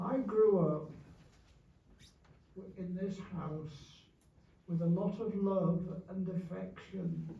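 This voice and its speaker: A man with a Yorkshire accent speaks at a very slow pace in a high pitch, his intonation fairly even, with audible room echo around him. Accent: Yorkshire English, older generation. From Yorkshire, northern England. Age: 80s+. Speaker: war veteran. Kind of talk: speech to an audience, memoir. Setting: remembrance service with audience. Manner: halting.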